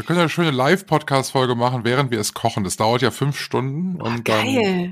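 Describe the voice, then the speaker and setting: Very fast and at a medium pitch, a man's voice makes very wide pitch swings. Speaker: podcast co-host, radio presenter.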